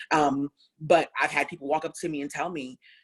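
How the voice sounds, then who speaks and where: A woman speaks loudly. Her tone is animated. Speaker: anti-racism speaker. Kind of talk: panel discussion. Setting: live stream.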